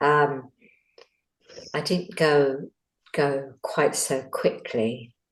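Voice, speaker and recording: Long, frequent pauses break up speech that goes at a very slow pace. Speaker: meditation participant. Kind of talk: sharing experience. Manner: quiet, hesitant.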